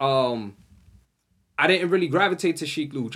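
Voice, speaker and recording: The voice is a man's, fairly high in pitch. The recording is very clean, with a silent background. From New Orleans, US South. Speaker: podcast co-host. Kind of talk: casual chat.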